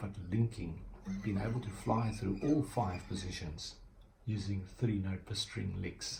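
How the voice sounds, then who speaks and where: A man with a South African accent, fairly low-pitched, at a fairly slow pace with ordinary pitch variation. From South Africa, Cape Town. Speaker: guitar teacher. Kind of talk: tutorial; casual chat. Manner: halting.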